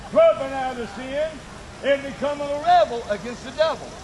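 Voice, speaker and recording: Heard through noticeable background noise, a man talks at a moderate pace with an extremely high pitch and ordinary pitch variation. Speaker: open-air preacher. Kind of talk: open-air campus sermon. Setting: outdoors.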